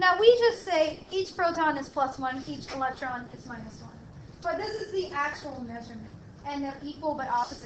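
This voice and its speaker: A woman speaks loudly in a high pitch at a moderate pace. Her intonation is lively, and there is noticeable background noise. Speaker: chemistry lecturer. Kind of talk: lecture. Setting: classroom with students.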